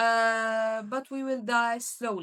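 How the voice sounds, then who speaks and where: A woman speaks in a bright, sharp tone at a fairly high pitch. Her intonation is monotone and flat. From Syria. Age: young. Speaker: university student, refugee. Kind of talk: interview answer.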